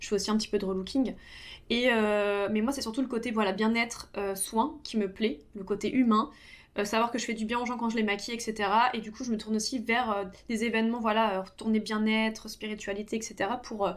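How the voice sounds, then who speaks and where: At a fairly quick pace, a woman talks with fairly even intonation and a fairly high pitch. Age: 30s. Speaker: makeup artist, beauty youtuber. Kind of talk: casual tutorial talk while doing own makeup. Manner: hesitant, many fillers (euh).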